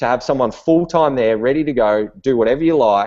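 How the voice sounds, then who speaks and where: The speaker has an Australian accent and ordinary pitch variation. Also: man. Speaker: online business entrepreneur. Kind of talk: webinar talk. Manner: casual, many fillers and repetitions.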